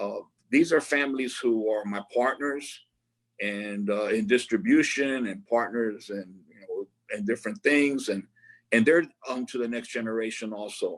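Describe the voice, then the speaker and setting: At a moderate pace, a man with an American accent and a medium pitch shows ordinary pitch variation and big swings in loudness. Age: 60s. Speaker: cigar maker. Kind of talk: interview. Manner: repetitive, halting restarts.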